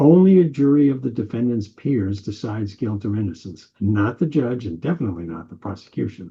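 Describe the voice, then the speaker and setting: The speaker has an American accent and a somewhat breathy voice, talking fairly quickly with hardly any pauses. Pitch swings very widely and loudness rises and falls a lot. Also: man, medium pitch for a man. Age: 80s+. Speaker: political commentator. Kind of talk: opinion monologue.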